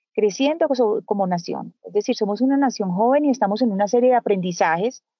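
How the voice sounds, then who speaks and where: A woman's calm tone with lively intonation. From Colombia. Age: 50s. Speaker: journalist. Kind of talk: interview conversation. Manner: soft-spoken.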